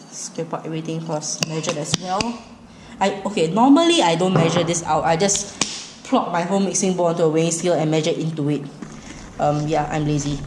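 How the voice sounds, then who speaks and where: A woman with a Singaporean accent speaks at a fairly low pitch with fairly even intonation. Room echo is audible, and there is noticeable background noise. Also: fairly quick pace. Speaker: cooking vlogger. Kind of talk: cooking tutorial. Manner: casual, rambling with fillers.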